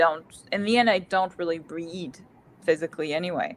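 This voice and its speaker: A woman talks at a fairly quick pace. She has a French accent and lively intonation. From France. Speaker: book channel co-host. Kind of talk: casual chat. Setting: livestream.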